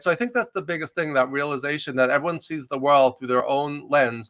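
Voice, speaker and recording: Speaking at a fairly quick pace, a man with a slight New York accent has a fairly high pitch and a bright, sharp tone. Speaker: executive coach and leadership professor. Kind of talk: interview conversation. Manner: fast.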